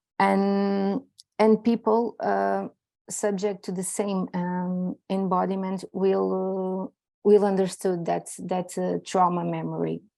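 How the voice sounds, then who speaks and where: Speaking with a non-native accent, a woman talks. Her pace is very slow. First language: not English. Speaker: PhD researcher. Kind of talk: conference presentation. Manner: halting.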